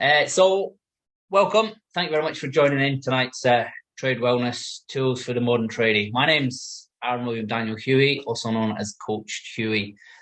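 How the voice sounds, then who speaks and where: Over a quiet background, a man with a British accent speaks at a moderate pace and medium pitch with ordinary pitch variation. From UK. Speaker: life coach and former carpenter. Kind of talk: talk to an audience. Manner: casual, with frequent fillers.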